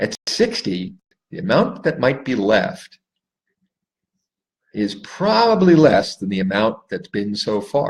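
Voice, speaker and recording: Speaking very slowly with long, frequent pauses, a man lets his pitch swing very widely. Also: medium pitch for a man. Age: 60s. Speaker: life coach. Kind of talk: solo talk to camera. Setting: Facebook live stream.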